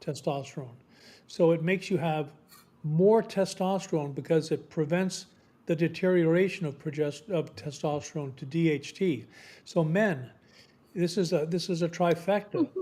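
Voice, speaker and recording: This man has a high, dark and mellow voice with ordinary pitch variation, speaking at a moderate pace on a very clean recording with a silent background. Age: 60s. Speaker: medical doctor, psychiatrist. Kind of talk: radio interview. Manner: halting, with frequent repetitions.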